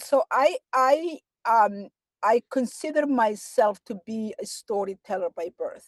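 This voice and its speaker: Speaking very slowly in a Somali accent, a woman uses lively intonation and a fairly high pitch, her loudness swinging widely, with a dry, close sound and no echo. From Somalia, small town. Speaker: novelist and advocate. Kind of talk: interview. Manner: halting.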